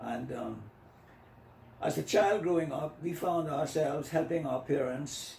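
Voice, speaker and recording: There is audible room echo and noticeable background noise as a man speaks at a fairly high pitch. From Bahamas, Long Island. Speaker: retired school principal and former politician. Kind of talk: interview. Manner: halting.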